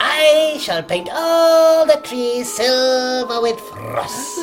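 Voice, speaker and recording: A put-on character voice, pitched high, speaks at a very slow pace over clear background music. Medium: stage play.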